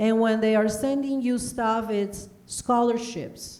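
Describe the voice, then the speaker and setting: A woman's fairly high voice with a dark, mellow tone at a fairly slow pace, audible room echo around it. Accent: Spanish. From Honduras. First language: Spanish. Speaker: broadcast journalist. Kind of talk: panel interview. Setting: stage with audience.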